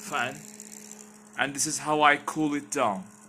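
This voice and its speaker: A man speaks with a non-native accent. His pitch is fairly high. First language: not English. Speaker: tech YouTuber. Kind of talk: tutorial. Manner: halting; casual. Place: home room. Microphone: headset.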